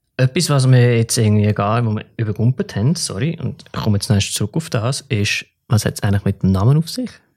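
A man's medium-pitched, somewhat breathy voice with lively intonation at a very fast pace, dry and close with no echo on a very clean recording with a silent background. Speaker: podcast host. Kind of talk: casual interview.

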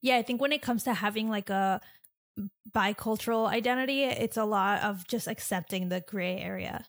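A woman in a plain, everyday voice, medium in pitch, with fairly even intonation at a moderate pace on a very clean recording with a silent background. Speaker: podcast host and illustrator. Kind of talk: casual interview chat.

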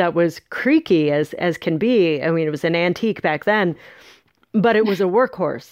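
A normal speaking voice from a woman, fairly low in pitch, at a moderate pace with ordinary pitch variation. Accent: American. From San Francisco, US West Coast. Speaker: author. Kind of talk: interview storytelling.

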